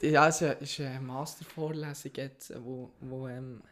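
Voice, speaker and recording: On a very clean recording with a silent background, a man with a fairly high pitch speaks fairly slowly in a monotone, flat intonation. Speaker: podcast co-host. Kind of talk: casual chat.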